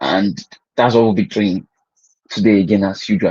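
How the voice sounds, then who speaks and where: Speaking with a Nigerian accent, a man uses a medium pitch, fairly even intonation and a dark, mellow tone. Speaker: agribusiness educator. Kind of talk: online class. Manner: halting, with many repeated words.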